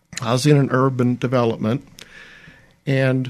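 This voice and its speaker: Here a man uses a normal speaking voice with an American accent. His pitch is fairly high, and the background is quiet. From Pennsylvania, Pittsburgh area. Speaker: homeless advocacy nonprofit director. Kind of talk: radio interview.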